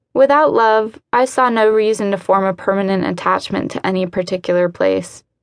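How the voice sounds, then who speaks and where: A woman speaks in a normal speaking voice, medium in pitch, with ordinary pitch variation. Her pace is fairly quick against a quiet background. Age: 30s. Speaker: author narrating her own book. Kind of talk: literary nonfiction audiobook narration, first-person memoir read aloud.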